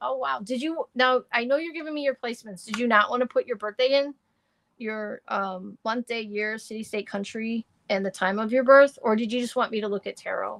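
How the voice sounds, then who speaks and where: A woman with an unremarkable speaking voice talks at a moderate pace with a fairly high pitch and ordinary pitch variation, the sound dry and close with no echo. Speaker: astrologer and tarot reader. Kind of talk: live-stream tarot reading and chat. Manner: casual, chatty.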